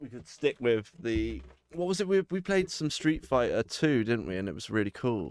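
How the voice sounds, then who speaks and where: A man talks at a fairly slow pace with very wide pitch swings. The recording is very clean and silent behind him, the sound dry and close with no echo. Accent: English. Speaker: gaming streamer. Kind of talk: casual chat. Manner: loud.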